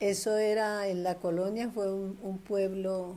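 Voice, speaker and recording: A woman's speech at a very slow pace. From Colombia, Tolima (Ambalema). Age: 80s+. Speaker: grandmother interviewee. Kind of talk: oral history interview.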